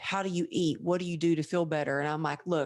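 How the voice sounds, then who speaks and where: Over a quiet background, a woman with a fairly low pitch talks at a fairly quick pace with fairly even intonation. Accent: strong Texan. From Texas. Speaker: podcast host. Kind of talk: interview conversation.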